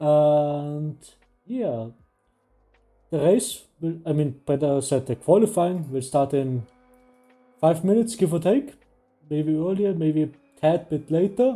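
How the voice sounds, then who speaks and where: The speech moves at a fairly slow pace with long, frequent pauses while music plays in the background. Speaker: sim racing stream host. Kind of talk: live stream commentary and interview.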